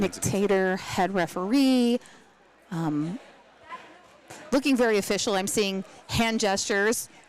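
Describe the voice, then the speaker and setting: In an American accent, a woman speaks at a fairly slow pace. Her pitch is medium, with ordinary pitch variation. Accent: Pittsburgh accent, filtered out. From Pittsburgh, US. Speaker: roller derby announcer. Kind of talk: live sports commentary.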